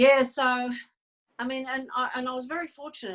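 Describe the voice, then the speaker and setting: At a fairly quick pace, a woman talks with an Australian accent. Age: 60s. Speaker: psychic medium and healer. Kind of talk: interview. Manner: halting.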